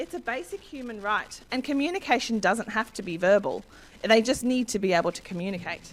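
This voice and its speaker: A woman speaks with an Australian accent. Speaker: education consultant. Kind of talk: presentation. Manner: fast; halting.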